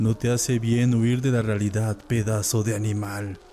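Music plays behind a man of medium pitch who speaks in a dramatic, intense tone at a fairly slow pace. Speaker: horror story narrator. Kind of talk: dramatic first-person horror narration, scripted storytelling. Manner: dramatic, suspenseful, grave; slow, brooding, intense.

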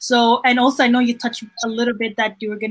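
There is a somewhat breathy quality when the woman speaks. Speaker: interviewer. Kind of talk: live interview. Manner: warm, enthusiastic.

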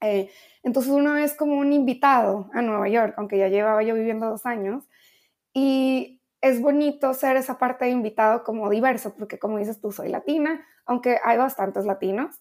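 The woman speaking here has a high pitch. Her pitch varies in an ordinary way. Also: moderate pace. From Mexico, Ensenada, Baja California. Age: young. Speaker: international affairs professional. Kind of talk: interview.

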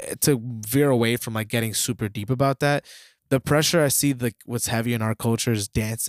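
A man with a plain, everyday voice talks at a fairly quick pace with fairly even intonation. The sound is dry and close with no echo, and the recording is very clean with a silent background. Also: medium pitch for a man. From US, Dominican-American family. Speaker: podcast co-host. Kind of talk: casual chat.

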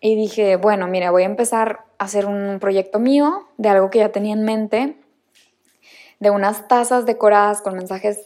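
A woman's medium-pitched voice at a moderate pace. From Mexico, Monterrey. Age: 20s. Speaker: podcast host and new mother. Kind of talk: casual personal monologue.

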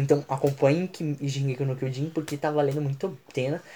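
A man's somewhat breathy, dark, mellow voice with monotone, flat intonation. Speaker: podcast host. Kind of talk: casual chat.

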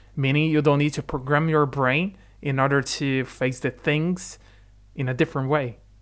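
A man with a Portuguese accent speaks at a moderate pace and fairly high pitch, with fairly even intonation, in a very clean recording with a silent background. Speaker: podcast co-host. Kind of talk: casual chat.

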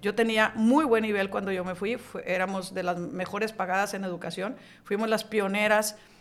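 A woman talks with fairly even intonation at a medium pitch. Hers is an unremarkable speaking voice. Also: moderate pace. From Hidalgo, Nuevo León, Mexico. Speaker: business association president. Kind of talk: interview.

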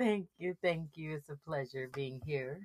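A woman puts on a character voice at a very deep, low pitch. She speaks at a moderate pace.

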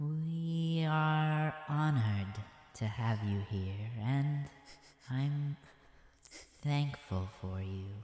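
In a put-on character voice with a low-to-middle pitch, the speaker moves at a very slow pace in a sing-song lilt, leaving long, frequent pauses amid clear echo. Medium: actual play. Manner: serene, gracious.

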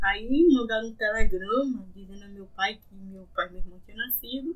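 A woman uses a normal speaking voice, her pitch varying in an ordinary way as she goes at a fairly slow pace. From Salvador, Bahia, Brazil (Plataforma). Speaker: local resident sharing memories. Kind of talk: conversational interview, reminiscing.

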